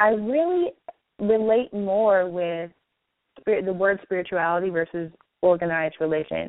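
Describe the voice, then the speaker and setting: A woman has an unremarkable speaking voice at medium pitch, with fairly even intonation. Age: 30s. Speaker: life coach. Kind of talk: guided meditation; interview.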